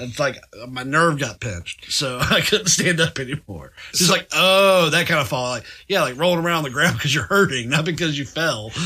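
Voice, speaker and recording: Fairly high man's voice with vocal fry, a bright, sharp tone, lively intonation and a fairly quick pace. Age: 40s. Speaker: podcast co-host. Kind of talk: casual banter. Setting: studio.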